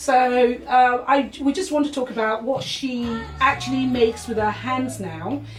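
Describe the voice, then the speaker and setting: There is noticeable background noise in the clip. The woman speaks at a moderate pace. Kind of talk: casual interview host talk to camera.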